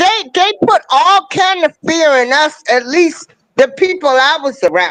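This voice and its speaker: A woman speaks at a fairly slow pace with lively intonation and a high pitch. Her loudness stays very even, and the sound is dry and close with no echo. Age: 60s. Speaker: panel guest. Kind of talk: casual panel discussion. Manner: halting, repeats words.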